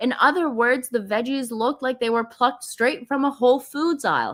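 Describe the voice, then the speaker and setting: A woman talks in a high voice with an animated tone. Her sound is bright and sharp. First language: not English. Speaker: gossip commentary YouTuber. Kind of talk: live stream commentary. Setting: live stream.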